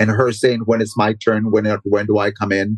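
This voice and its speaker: In a dry, close sound with no echo, a man with an ordinary speaking voice talks at a moderate pace and a fairly low pitch. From Mexico (Michoacan), raised in Los Angeles from age 9. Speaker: dancer and dance teacher. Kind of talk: casual interview conversation.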